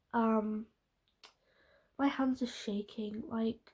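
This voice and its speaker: A woman with a British accent speaks in a dark, mellow tone at a fairly high pitch, her intonation fairly even. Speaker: beauty vlogger. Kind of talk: casual talk to camera.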